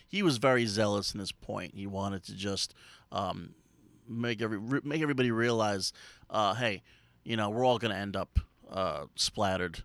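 With an unremarkable speaking voice, a man talks at a moderate pace and fairly low pitch, with ordinary pitch variation. The sound is dry and close, with no echo. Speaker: comedian and writer. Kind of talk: casual comedic chat.

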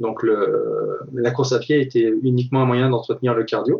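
A man at a moderate pace, medium in pitch and somewhat breathy. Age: 40s. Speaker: ultra-trail runner and triathlete. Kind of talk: casual interview. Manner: hesitant, with many fillers.

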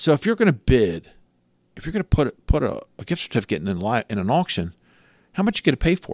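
Speaking very fast but with long, frequent pauses, a man with an American accent uses a medium-pitched voice with vocal fry, very wide pitch swings and big swings in loudness, in a dry, close sound with no echo. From Cecil County, Maryland. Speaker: charity fundraising company owner and auctioneer. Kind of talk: casual interview chat. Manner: fast talker, animated.

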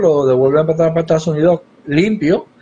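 With ordinary pitch variation and a dark, mellow tone, a man talks at a moderate pace. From Puerto Rico (Yabucoa). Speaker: congressional candidate. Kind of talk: political interview.

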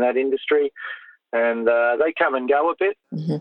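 Here a man speaks with an Australian accent. He keeps a moderate pace. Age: 50s. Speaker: show jumping rider and coach. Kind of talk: interview.

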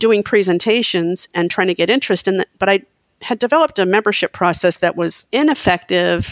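A woman talks at a fairly quick pace in an ordinary speaking voice, with medium pitch and ordinary pitch variation. The sound is dry and close with no echo, and her loudness stays very even. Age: 60s. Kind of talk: interview.

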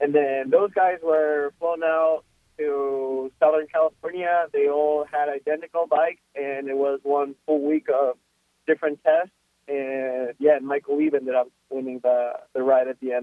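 At a moderate pace, a man with a Spanish accent talks in a fairly high voice with fairly even intonation. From Ecuador. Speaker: professional motocross racer. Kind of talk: casual interview.

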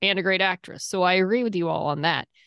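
A woman talks at a fairly quick pace and medium pitch in a plain, everyday voice. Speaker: podcast co-host. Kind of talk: casual chat.

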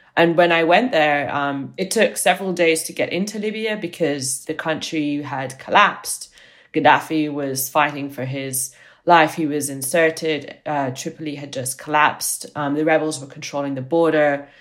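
A woman speaks with a very deep, low pitch and big swings in loudness. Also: ordinary pitch variation, moderate pace. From Italy. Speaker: journalist and author. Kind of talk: interview. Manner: hesitant, many fillers.

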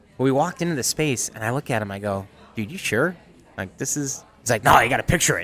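A man with an American accent talks at a very fast pace with lively intonation. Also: medium pitch for a man. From upstate New York (Utica). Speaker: chef and restaurant owner. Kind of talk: casual interview.

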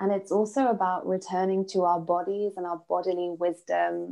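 With a British accent, a woman speaks at a fairly low pitch and keeps her intonation fairly even. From United Kingdom. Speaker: business mentor and author. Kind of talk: interview conversation.

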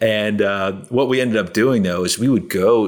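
In a plain, everyday voice, a man with an American accent talks at a moderate pace with ordinary pitch variation. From New Jersey. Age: 40s. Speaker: real estate investor. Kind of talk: podcast interview.

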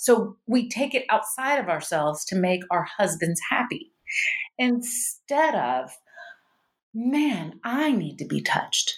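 A woman's fairly high voice in a Mississippi accent, very slow, with very wide pitch swings. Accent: Southern US (Mississippi). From US South, Starkville, Mississippi. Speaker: doctor. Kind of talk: interview conversation.

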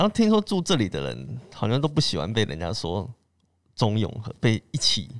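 A man's moderately paced talk is captured in a very clean recording with a silent background. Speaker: podcast host. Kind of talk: casual chat.

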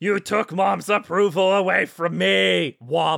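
A put-on character voice at a middle pitch, delivered at a fairly slow pace. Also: very clean recording, silent background. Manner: childish, whiny, simple-minded.

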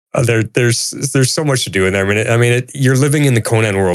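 This man's pitch sits in the medium range. It varies in an ordinary way. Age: 50s. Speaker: returning podcast guest. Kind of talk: casual chat.

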